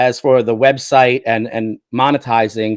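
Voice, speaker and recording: A man talks at a fairly slow pace, the sound dry and close with no echo. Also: very clean recording, silent background. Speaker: YouTube tech reviewer and agency owner. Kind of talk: casual interview chat.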